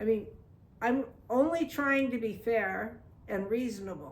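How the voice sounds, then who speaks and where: At a fairly slow pace, a woman sounds animated, her fairly high voice showing ordinary pitch variation. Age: 60s. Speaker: video blogger. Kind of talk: personal monologue.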